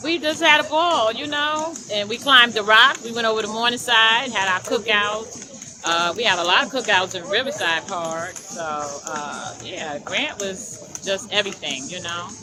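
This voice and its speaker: A woman's animated, fairly high voice with very wide pitch swings and hardly any pauses, over noticeable background noise. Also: moderate pace, big swings in loudness. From New York City, Harlem. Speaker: former resident interviewee. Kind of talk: casual interview.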